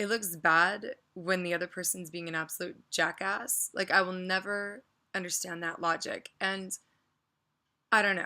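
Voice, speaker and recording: On a very clean recording with a silent background, a woman talks quietly at a moderate pace, her tone bright and sharp and her intonation fairly even. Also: medium pitch for a woman. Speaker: vlogger. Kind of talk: casual rant vlog.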